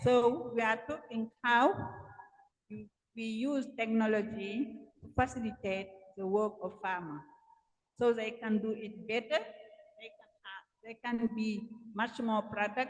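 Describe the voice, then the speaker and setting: A woman speaks at a fairly high pitch with a somewhat breathy voice and fairly even intonation, though her loudness swings widely. She talks at a fairly slow pace with long, frequent pauses. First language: French. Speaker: panel moderator, gender specialist. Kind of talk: panel discussion moderation. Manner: halting.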